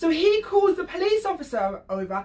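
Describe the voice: A woman's extremely high-pitched voice with big pitch swings and a slightly mellow tone. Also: moderate pace.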